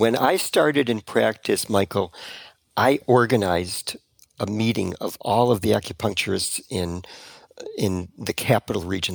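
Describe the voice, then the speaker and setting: A man with an ordinary speaking voice sits fairly low in pitch, and his pitch varies in an ordinary way. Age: 60s. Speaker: retired acupuncturist. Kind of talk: interview conversation.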